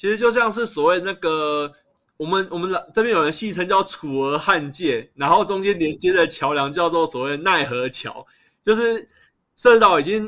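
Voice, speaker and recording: Here is a man with a high, bright, sharp tone and lively intonation. The recording is very clean, with a silent background. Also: moderate pace. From Taiwan, Taipei (Shezi Island). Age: 30s. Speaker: local resident researching urban planning. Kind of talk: podcast interview.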